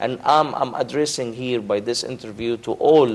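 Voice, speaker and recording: Ordinary pitch variation runs through a man's speech in an Arabic accent. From Egypt. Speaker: diplomat. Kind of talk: TV interview. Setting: studio. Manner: halting, many repetitions. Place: studio.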